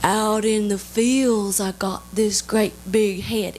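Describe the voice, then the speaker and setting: A female-sounding put-on character voice speaks at medium pitch and a very slow pace, with clear background noise behind it. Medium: stage play. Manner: slow, ominous.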